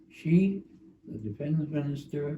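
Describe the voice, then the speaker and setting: The voice belongs to a man and is somewhat breathy. Its tone is dark and mellow. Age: 90s. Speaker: retired history professor. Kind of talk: interview. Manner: halting.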